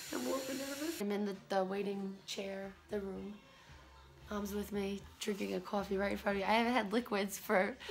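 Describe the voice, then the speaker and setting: Noticeable background noise sits behind a woman talking at a moderate pace. Her pitch varies in an ordinary way. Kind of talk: casual vlog chat. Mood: nervous but joking. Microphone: phone near.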